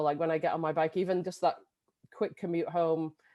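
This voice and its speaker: A woman speaks in a fairly low pitch with an English accent. Her tone is dark and mellow, over a quiet background. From England. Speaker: bike education director. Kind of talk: video interview.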